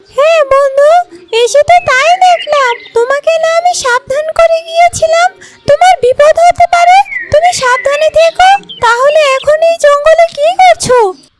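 Cartoonish character voice, extremely high, with very wide pitch swings at a moderate pace. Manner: firm, protective.

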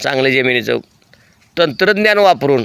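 His pitch swings very widely as this man talks. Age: 70s. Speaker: dairy farmer. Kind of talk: tutorial.

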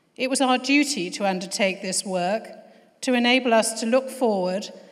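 Against a quiet background, a woman speaks at a moderate pace with fairly even intonation. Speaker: host of a formal event. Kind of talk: formal welcome speech. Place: hall. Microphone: podium.

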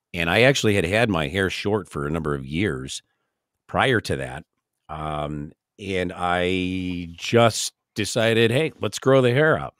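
A man's very deep, low voice in an American accent, with lively intonation at a fairly slow pace, against a quiet background in a dry sound with no echo. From northern Illinois. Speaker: camping podcast host, former band musician; camping podcast host. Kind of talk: casual chat. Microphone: studio mic.

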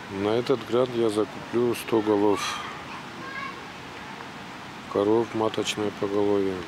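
The delivery is very slow, with monotone, flat intonation. The sound is dry with no echo, and there is noticeable background noise. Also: man. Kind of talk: interview answer. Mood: calm, slightly shy. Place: garden. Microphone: handheld.

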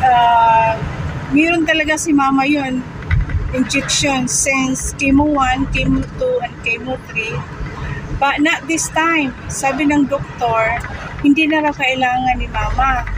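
At a very slow pace, a woman with a high pitch keeps a fairly even intonation in a dry sound with no echo and noticeable background noise. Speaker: vlogger. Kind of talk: casual vlog chat. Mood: thankful, updating on mother's chemo. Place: car. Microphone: phone near.

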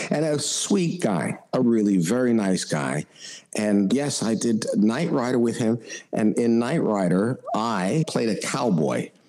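Over noticeable background noise, the voice moves at a fairly slow pace with very wide pitch swings. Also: man. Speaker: voice actor. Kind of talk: interview answer. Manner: casual, anecdotal.

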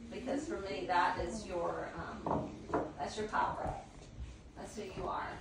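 A woman speaks at a fairly slow pace and a fairly low pitch, with vocal fry. Her pitch varies in an ordinary way, and the room echo is audible.

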